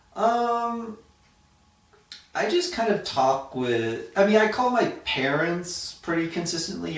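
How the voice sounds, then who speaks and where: A man with an American accent speaks at a fairly slow pace, his pitch swinging very widely. Noticeable background noise and audible room echo surround the voice. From Florida, US. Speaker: Peace Corps volunteer teacher. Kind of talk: casual interview. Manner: hesitant, many fillers.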